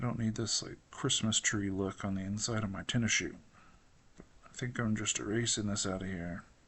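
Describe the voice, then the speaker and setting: A man with a plain, everyday voice, fairly low in pitch, at a fairly quick pace with fairly even intonation. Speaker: digital artist and designer. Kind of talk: drawing tutorial. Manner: casual, thinking aloud.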